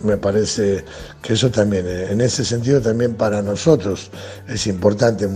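A man's fairly low voice at a moderate pace with ordinary pitch variation, music in the background. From Argentina. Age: 60s. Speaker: football coach. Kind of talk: interview. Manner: halting, many fillers and repetitions.

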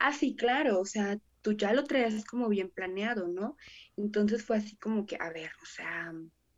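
This woman has a plain, everyday voice, fairly high in pitch, with ordinary pitch variation and a fairly slow pace. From Mexico, Salamanca, Guanajuato. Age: 20s. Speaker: preschool teacher. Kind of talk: casual chat.

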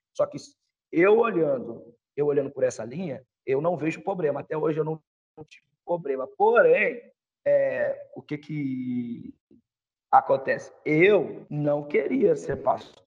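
The pace is fairly slow. Long pauses come often. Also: man, big swings in loudness. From Espírito Santo, Brazil (born in Rio). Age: 30s. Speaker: pastor. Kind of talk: casual interview. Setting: remote call over internet.

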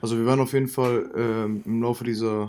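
A man speaks in a monotone with flat intonation. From Germany, Cologne. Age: 20s. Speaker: podcast co-host, student startup founder. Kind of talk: casual chat.

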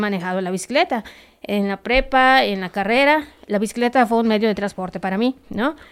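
A woman talks at a moderate pace. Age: 40s. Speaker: amateur cyclist. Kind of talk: interview.

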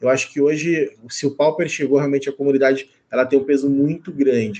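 A man's fairly high voice at a moderate pace, monotone and flat. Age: 30s. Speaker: Magic card game writer and content creator. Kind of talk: casual chat.

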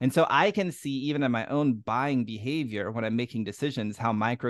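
Against a quiet background, a man with a plain, everyday voice talks at a fairly quick pace with ordinary pitch variation. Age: 30s. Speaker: online community coach. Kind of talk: podcast interview.

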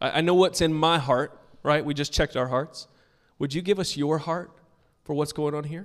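A man with a plain, everyday voice, fairly high in pitch, at a moderate pace and with fairly even intonation. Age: 40s. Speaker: pastor. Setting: church with congregation. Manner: casual and conversational with frequent ums and repeated words.

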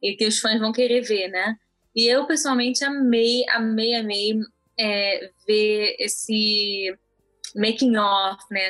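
A woman speaks in a plain, everyday voice. Her pitch is fairly high, with ordinary variation. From Brazil (born in Israel, moved at about 5-6). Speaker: podcast co-host. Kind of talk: casual chat.

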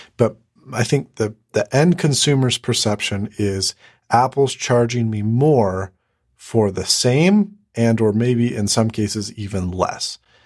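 In a very clean recording with a silent background, a man talks at a very slow pace. His pitch is medium, with ordinary variation. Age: 20s. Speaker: YouTuber. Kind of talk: casual chat.

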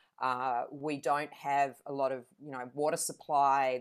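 A woman speaks in an Australian accent with a very deep, low pitch. The recording is very clean, with a silent background. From Adelaide, South Australia. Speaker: council candidate and leadership coach. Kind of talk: interview.

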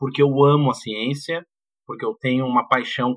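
Fairly even intonation at a moderate pace, an unremarkable speaking voice. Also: man. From Porto Alegre, southern Brazil. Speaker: university professor. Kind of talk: casual chat.

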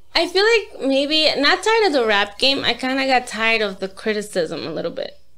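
Speaking with an American accent, a woman raises and projects her high voice. Her pitch swings very widely at a fairly quick pace. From Brooklyn, New York City. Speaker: rapper. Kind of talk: casual interview chat.

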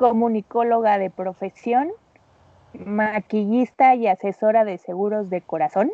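In a Mexican accent, a woman speaks at a fairly high pitch with fairly even intonation. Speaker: makeup artist and insurance adviser. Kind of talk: casual chat. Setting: remote call.

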